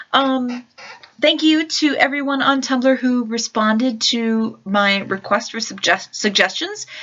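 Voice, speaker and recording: Amid noticeable background noise, a woman speaks at a fairly slow pace in a high pitch with ordinary pitch variation. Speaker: vlogger and religious studies teacher. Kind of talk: casual vlog monologue. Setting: at home in her room. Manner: hesitant, many fillers. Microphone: new laptop mic, better sound quality.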